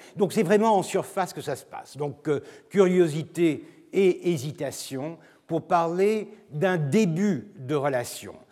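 The tone is dark and mellow, the pace very slow, and the pitch variation ordinary. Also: man, high pitch for a man. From Turkey. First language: Turkish (speaking French). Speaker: professor. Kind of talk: lecture. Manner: halting, with frequent repetitions and fillers.

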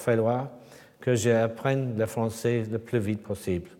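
In a dark, mellow tone with an English accent, a man speaks very slowly amid audible room echo. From England. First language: English (speaking French). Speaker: sculptor. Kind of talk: lecture. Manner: halting.

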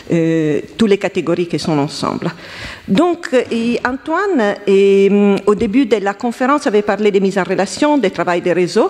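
The speaker has an Italian accent and lively intonation at a fairly slow pace. Noticeable background noise is present. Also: woman. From Italy. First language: Italian (speaking French). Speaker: historian. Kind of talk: round table discussion.

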